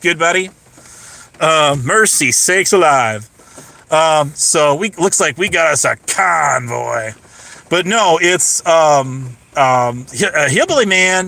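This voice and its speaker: A man's fairly high voice at a very slow pace, with very even loudness, lively intonation and noticeable background noise. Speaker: streamer. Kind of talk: livestream chat. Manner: halting, many fillers.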